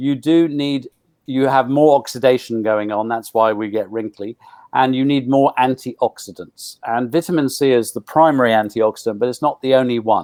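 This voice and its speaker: A man speaks at a moderate pace with a medium pitch and ordinary pitch variation. He has a normal speaking voice. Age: 60s. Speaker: nutrition expert. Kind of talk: interview.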